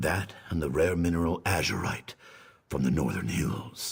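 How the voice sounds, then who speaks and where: At a moderate pace, a man uses a put-on character voice with a very deep, low pitch. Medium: video game.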